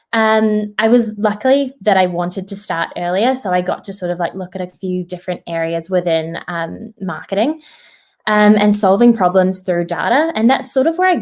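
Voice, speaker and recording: In a New Zealand accent, the speaker talks at a fairly quick pace with ordinary pitch variation on a very clean recording with a silent background. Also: woman. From New Zealand, Auckland. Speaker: graduate employee at a tech company. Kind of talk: career talk to students. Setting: virtual event.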